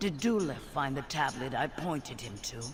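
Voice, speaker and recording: Over clear background noise, a man does a put-on character voice at a fairly high pitch and a moderate pace. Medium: video game. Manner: measured, composed.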